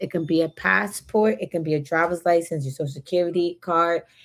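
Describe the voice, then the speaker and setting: A woman with an American accent talks at a fairly quick pace in an ordinary speaking voice. Her pitch is fairly low and her intonation fairly even. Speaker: notary public and online educator. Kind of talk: live-stream presentation. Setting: live stream.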